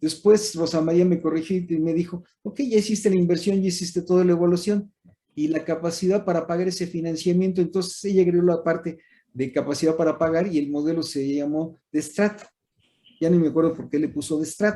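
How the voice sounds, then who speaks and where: This man has a high pitch and a dark, mellow tone, speaking at a fairly quick pace with fairly even intonation. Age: 70s. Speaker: professor. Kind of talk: lecture.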